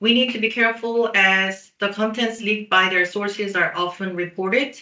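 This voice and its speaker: In a Korean accent, a woman with a bright, sharp tone speaks at a fairly high pitch and a moderate pace, her intonation fairly even. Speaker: PR specialist. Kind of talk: webinar presentation. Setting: online webinar.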